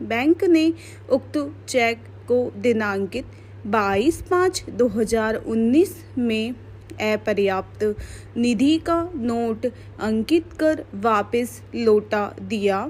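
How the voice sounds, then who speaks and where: A somewhat breathy woman's voice, fairly high in pitch, with lively intonation. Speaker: stenography dictation teacher. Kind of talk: legal dictation read at steady dictation pace. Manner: slow, measured, clear.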